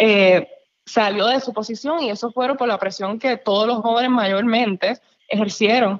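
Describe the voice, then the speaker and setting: At a fairly slow pace, a woman speaks in a normal speaking voice, fairly high in pitch, with fairly even intonation. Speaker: youth podcast co-host. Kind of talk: casual interview.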